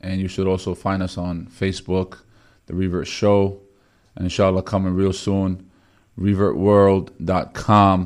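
Over a quiet background, a man with a very deep, low pitch talks at a fairly slow pace in a flat monotone. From Bethlehem, Palestine. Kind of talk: radio sales pitch, ad read with repeated phone number. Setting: live radio studio broadcast. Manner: brisk, punchy, urgent call-to-action delivery.

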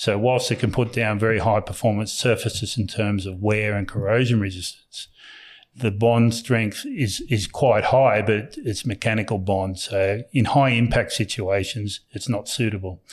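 In a very clean recording with a silent background, a man with an Australian accent speaks at a fairly low pitch, somewhat breathy, with fairly even intonation. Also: moderate pace. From New South Wales, Australia. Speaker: company founder and executive. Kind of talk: interview. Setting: on site at company premises.

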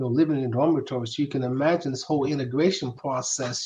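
A man with a Southern US accent has a dark, mellow tone at a fairly high pitch. His voice is somewhat breathy. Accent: Southern US (Georgia). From US South, Macon, Georgia. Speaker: retired football player. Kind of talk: interview.

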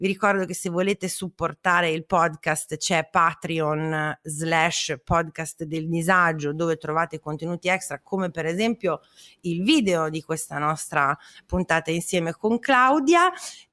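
In a very clean recording with a silent background, a woman with a fairly low pitch speaks at a fairly slow pace in a bright, sharp tone, with ordinary pitch variation. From northern Italy, Parma. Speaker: podcast host. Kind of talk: casual chat; scripted narration.

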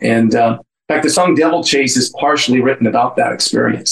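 With an American accent, a medium-pitched man speaks at a moderate pace with fairly even intonation. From San Francisco Bay Area, California. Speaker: musician and songwriter. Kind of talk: interview.

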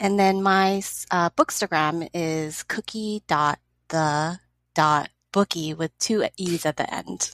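In a Californian accent, a woman speaks at a very slow pace with fairly even intonation, in a very clean, dry, close recording with no echo and a silent background. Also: fairly low pitch for a woman. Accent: Californian American. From Los Angeles. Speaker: educator and book event co-organizer. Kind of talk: casual chat.

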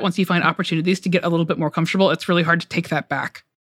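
A woman with an American accent speaks at a medium pitch, recorded dry and close with no echo. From US South, Georgia (Metro Atlanta). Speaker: journalist. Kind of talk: casual chat. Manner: halting, many fillers.

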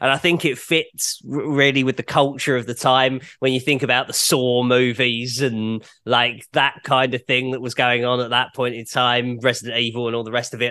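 A man's bright, sharp voice in a British accent, medium in pitch and flat in a monotone, at a moderate pace over a quiet background. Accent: British, sometimes mistaken for Australian. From United Kingdom. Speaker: rock journalist and broadcaster. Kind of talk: casual chat.

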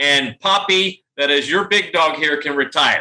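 A man uses a raised, projected voice with a bright, sharp tone. His pitch varies in an ordinary way. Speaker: dog charity founder. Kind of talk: interview.

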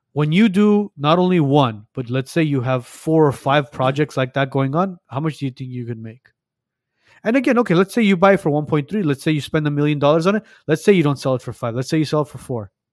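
Very fast and with lively intonation, a man speaks at a fairly high pitch. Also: dry, close sound with no echo. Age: 30s. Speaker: podcast host, registered nurse. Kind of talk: casual chat.

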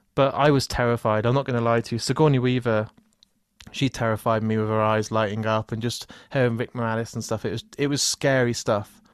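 A man talks at a fairly quick pace with flat, monotone intonation and a medium pitch. The background is quiet. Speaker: podcaster. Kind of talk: casual chat.

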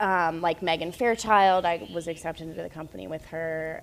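A woman talks at a moderate pace with fairly even intonation. Her pitch is fairly low, and it is an ordinary speaking voice. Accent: American. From US South, North Carolina. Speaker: ballet dancer. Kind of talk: casual interview chat. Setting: remote call from Bahamas island.

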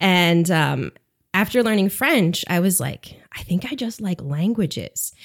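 A plain, everyday voice from a woman, medium in pitch, with lively intonation, a fairly slow pace, and a very clean recording with a silent background. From upstate New York, US. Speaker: language teacher. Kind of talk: casual interview.

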